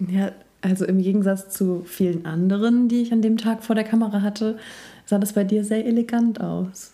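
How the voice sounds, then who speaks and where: A woman speaks with a dark, mellow tone and monotone, flat intonation. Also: medium pitch for a woman, moderate pace, very even loudness. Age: 30s. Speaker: journalist and yoga teacher. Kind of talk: casual chat.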